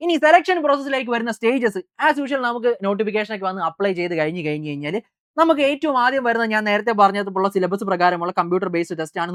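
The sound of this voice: Speech comes at a fast pace with ordinary pitch variation, in a dry, close sound with no echo. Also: woman.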